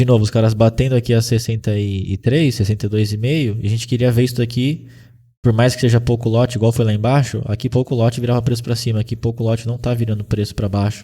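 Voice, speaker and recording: Speaking very fast at a medium pitch, a man has a dark, mellow, somewhat breathy tone and monotone, flat intonation. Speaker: day trading instructor. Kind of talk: live trading class.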